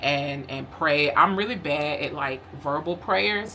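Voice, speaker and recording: This woman's voice sits at a very deep, low pitch. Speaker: lifestyle vlogger. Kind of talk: casual vlog talk. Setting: at home. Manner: casual, filler-heavy; talking kind of low.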